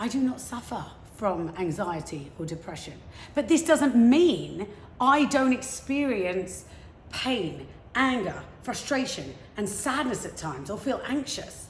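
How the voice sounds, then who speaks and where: In a room with audible echo, a woman with a high voice speaks at a fairly slow pace in an energetic tone, with very wide pitch swings. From England, London. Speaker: motivational speaker. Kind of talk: prepared talk.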